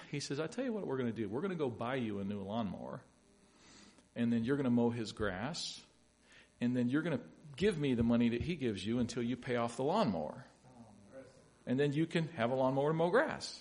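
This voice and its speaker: With an American accent and lively intonation, a man of medium pitch talks at a very fast pace, broken by long, frequent pauses, in a room with audible echo. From US South, Louisville, Kentucky. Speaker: pastor. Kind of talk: sermon. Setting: church.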